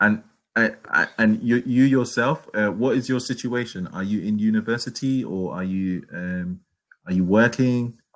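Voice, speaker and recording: Speaking in a London accent, a man keeps a medium pitch, a moderate pace, and ordinary pitch variation. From London, England. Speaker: online English tutor. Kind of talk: casual conversation lesson. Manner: halting, many repetitions.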